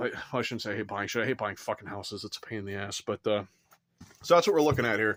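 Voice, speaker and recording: A man talking at a very fast pace, fairly low in pitch, with ordinary pitch variation. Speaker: vlogger doing a house tour. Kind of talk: casual walkthrough vlog.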